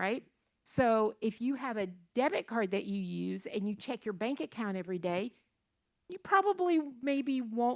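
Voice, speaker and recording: Heard on a very clean recording with a silent background, a woman talks at a moderate pace in an unremarkable speaking voice. Her fairly high pitch carries lively intonation. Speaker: church speaker on finances. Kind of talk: church teaching talk to young adults.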